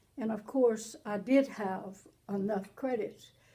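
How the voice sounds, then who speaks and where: Her voice is fairly high-pitched, somewhat breathy and dark and mellow in tone, and this woman keeps her intonation fairly even. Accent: American. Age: 80s+. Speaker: pastor. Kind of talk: interview testimony.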